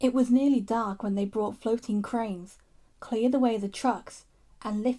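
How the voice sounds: Here the reading voice sounds natural.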